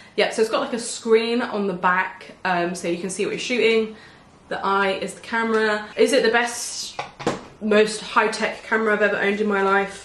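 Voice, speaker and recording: A woman with an English accent, fairly high-pitched, at a moderate pace with fairly even intonation, amid light background noise and audible room echo. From England. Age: 20s. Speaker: beauty vlogger. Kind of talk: casual chat.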